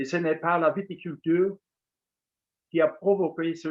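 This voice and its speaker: With a Luxembourgish accent, a man talks at a fairly slow pace. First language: Luxembourgish (speaking French). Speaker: association official. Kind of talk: concluding speech. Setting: webinar.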